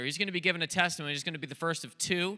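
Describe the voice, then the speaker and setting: A man speaks in a high, bright, sharp voice with ordinary pitch variation. Crowd noise sits in the background. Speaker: rehab ministry staff and worship leader. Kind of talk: emcee introductions and worship leading. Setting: church stage with congregation.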